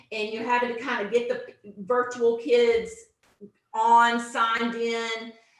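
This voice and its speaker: The room gives off an audible echo. A woman speaks in a fairly high voice. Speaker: teacher trainer / instructional coach. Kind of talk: online teacher training presentation. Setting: video conference, same room as co-presenter. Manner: loud.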